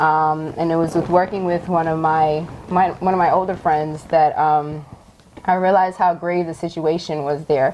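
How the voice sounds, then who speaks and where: Noticeable background noise runs behind a woman with a fairly low pitch. Her intonation is monotone and flat, and her pace moderate. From US (Haitian family, born in Mexico). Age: young. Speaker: nonprofit founder. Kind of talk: interview. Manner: hesitant, many fillers.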